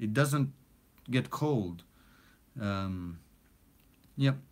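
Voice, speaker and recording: On a very clean recording with a silent background, a man with a non-native accent speaks at a fairly slow pace with lively intonation. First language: not English. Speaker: recording studio owner and music producer. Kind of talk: live stream chat. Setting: home recording studio. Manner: casual, many fillers.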